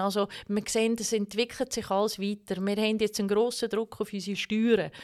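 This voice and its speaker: Very clean audio against a silent background, carrying a fairly high-pitched female voice. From Switzerland, Canton of Zug (Baar). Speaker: cantonal government politician. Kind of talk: interview. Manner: many filler sounds.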